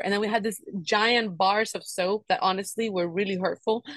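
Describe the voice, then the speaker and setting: A woman's medium-pitched voice, fairly quick, with ordinary pitch variation and a Spanish accent. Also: dry, close sound with no echo. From Cuba. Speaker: podcast host. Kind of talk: casual chat.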